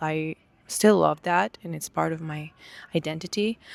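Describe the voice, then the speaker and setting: In an Israeli accent, a woman speaks at a fairly low pitch in a very clean recording with a silent background and a dry, close, echo-free sound. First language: Hebrew. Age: 20s. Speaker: vlogger. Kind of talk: personal testimony. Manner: halting.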